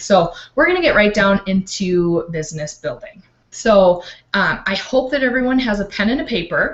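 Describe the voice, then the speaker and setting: At a moderate pace, a woman with a medium pitch and lively intonation speaks in a plain, everyday voice. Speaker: life coach. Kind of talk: online training talk.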